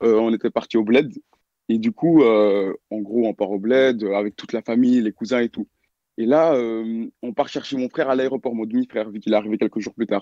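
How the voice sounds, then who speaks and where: A man speaks in a plain, everyday voice at a moderate pace. His intonation stays fairly even. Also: medium pitch for a man. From Belgium. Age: young. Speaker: caller telling a story. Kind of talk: storytelling. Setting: online voice call.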